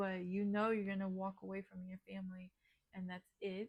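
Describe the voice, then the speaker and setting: A woman speaks with monotone, flat intonation at a medium pitch. Her voice is somewhat breathy. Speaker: tarot reader. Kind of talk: tarot reading to camera. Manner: hesitant, many fillers.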